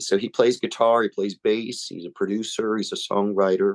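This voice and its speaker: In a dry, close recording with no echo, a man with an American accent speaks at a moderate pace, his fairly low voice keeping a fairly even intonation. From Delaware, USA. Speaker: singer-songwriter. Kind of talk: interview answer.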